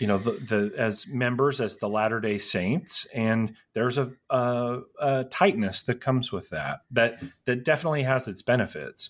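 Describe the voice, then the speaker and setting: Speaking with an American accent in an unremarkable speaking voice, a man keeps a medium pitch, ordinary pitch variation and a moderate pace. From rural Utah. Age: 30s. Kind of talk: interview.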